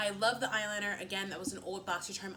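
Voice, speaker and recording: An animated woman with a Philadelphia accent, in a room with audible echo. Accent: Philadelphia American English. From US Northeast, Philadelphia. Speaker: beauty vlogger. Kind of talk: casual chat. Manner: fast.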